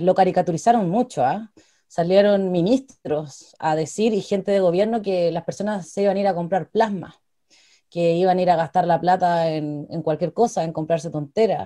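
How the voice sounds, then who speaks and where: With a Chilean accent, a woman speaks at a moderate pace in a dark, mellow tone with ordinary pitch variation against a quiet background. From Chile, Cauquenes (Maule region); Maule, Chile. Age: 20s. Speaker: political candidate and law student; candidate. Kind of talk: interview. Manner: hesitant, with frequent repetitions and fillers. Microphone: earbuds.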